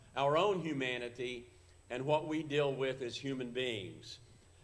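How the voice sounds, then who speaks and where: Through audible room echo and noticeable background noise, a man with a fairly high pitch speaks at a fairly slow pace with fairly even intonation. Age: 70s. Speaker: actor and performer. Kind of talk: talk to a church audience. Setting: church service, live broadcast.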